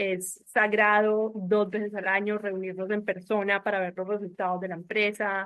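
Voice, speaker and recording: Speaking at a moderate pace with hardly any pauses, a woman keeps a medium pitch and a monotone, flat intonation. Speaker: family business board member. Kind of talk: panel discussion.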